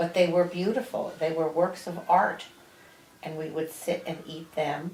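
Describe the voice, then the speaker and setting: A woman with an American accent speaks fairly slowly in a fairly low, flat monotone over noticeable background noise. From New Jersey. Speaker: grandmother interviewed by grandson. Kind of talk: family interview. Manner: casual, halting.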